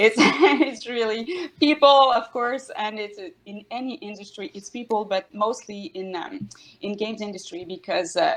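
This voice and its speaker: A woman with a French accent speaks at a moderate pace, her intonation lively. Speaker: HR executive at game studio. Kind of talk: panel discussion. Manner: halting, many hesitations.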